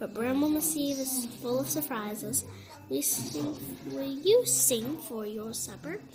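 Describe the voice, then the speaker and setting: Putting on a character voice, a woman speaks at a fairly slow pace with a fairly high pitch over clear background noise. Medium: read story. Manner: loud, jovial.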